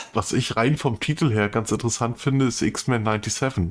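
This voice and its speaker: Heard here is a man with a plain, everyday voice, medium in pitch, with ordinary pitch variation. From northern Germany. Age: 40s. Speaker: podcast co-host. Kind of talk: casual chat.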